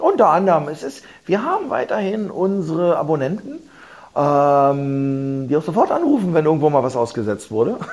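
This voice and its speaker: Lively intonation from a fairly high-pitched man at a moderate pace. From Berlin, Germany. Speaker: businessman and investor in culture venues. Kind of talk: interview. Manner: halting, many fillers and repetitions.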